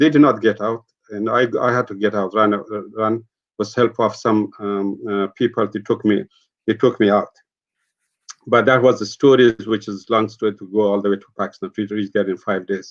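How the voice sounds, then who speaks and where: This man has an Afghan accent and a fairly low pitch. He keeps a moderate pace and fairly even intonation. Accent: Afghan (Dari-speaking). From Afghanistan. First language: Dari. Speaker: peace activist. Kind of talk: interview testimony. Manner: halting.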